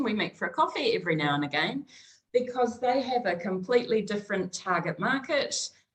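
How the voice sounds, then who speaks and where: A woman speaks in a New Zealand accent at a medium pitch. Her pace is fairly quick and her intonation lively. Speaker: small business consultant. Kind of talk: interview conversation.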